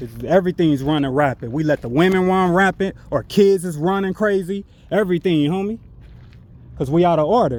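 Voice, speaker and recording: This man talks at a fairly quick pace, his pitch high and its variation ordinary. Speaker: religious street teacher / vlogger. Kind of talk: preaching monologue to camera. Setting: outdoors, walking. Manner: loud, yelling; halting with many fillers.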